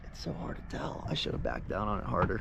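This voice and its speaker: A man talks with an American accent. The room echoes audibly, and background noise is noticeable. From Florida. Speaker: sailing vlogger. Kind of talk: casual vlog talk to camera. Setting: on a sailboat outdoors.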